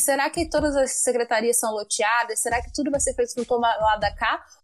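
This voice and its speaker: A woman's high voice at a moderate pace, with ordinary pitch variation and music in the background. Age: 20s. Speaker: municipal election candidate. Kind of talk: interview.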